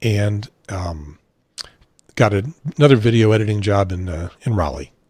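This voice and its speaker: Speaking in an American accent, a man has a fairly low pitch and a somewhat breathy voice. He moves at a moderate pace with lively intonation. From Chicago area. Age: 60s. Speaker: talk show host, former radio presenter. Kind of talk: casual chat.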